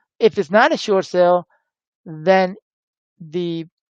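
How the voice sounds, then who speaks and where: Over a quiet background, the speech unfolds at a very slow pace. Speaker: real estate educator. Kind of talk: live webinar tutorial. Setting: live stream webinar. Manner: halting, many fillers.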